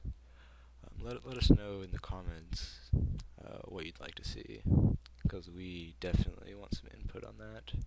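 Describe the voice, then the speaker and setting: Against noticeable background noise, a man with an American accent speaks fairly slowly, with very wide pitch swings and big swings in loudness. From United States. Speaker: gaming video creator. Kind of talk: unscripted opinion commentary. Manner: halting, many fillers. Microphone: poor mic, breathy, audible breathing.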